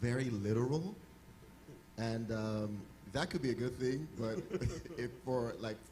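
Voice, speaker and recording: A man speaks at a medium pitch with ordinary pitch variation. The room echo is audible, and background noise is noticeable. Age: young. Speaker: husband sharing about marriage. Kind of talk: casual chat.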